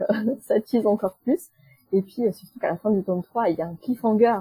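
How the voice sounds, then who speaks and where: A somewhat breathy woman's voice with a dark, mellow tone, dry and close with no echo. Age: 30s. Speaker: book blogger and YouTuber. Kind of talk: casual interview. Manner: hesitant, many fillers.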